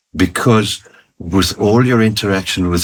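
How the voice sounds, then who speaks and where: Fairly slow speech from a man, with ordinary pitch variation. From Italy, raised in South Africa. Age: 80s+. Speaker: retired chartered accountant and business executive. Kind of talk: interview answer.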